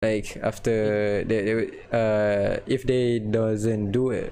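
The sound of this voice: At a slow pace, a man speaks in a dark, mellow tone with fairly low pitch and ordinary pitch variation.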